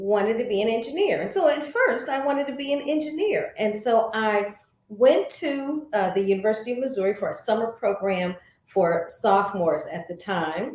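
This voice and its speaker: This woman speaks with an American accent at a moderate pace. Her high voice makes very wide pitch swings. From US Midwest, St. Louis. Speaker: former TV journalist and voice actor. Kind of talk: interview.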